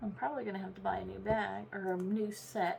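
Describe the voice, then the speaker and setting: The speaker keeps a moderate pace over noticeable background noise. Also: woman. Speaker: crafting YouTuber. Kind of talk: tutorial. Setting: at home desk.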